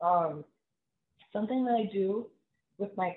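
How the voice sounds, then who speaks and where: Quiet and fairly even in intonation, a woman speaks at a moderate pace. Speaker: financial planner, business owner. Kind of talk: interview answer.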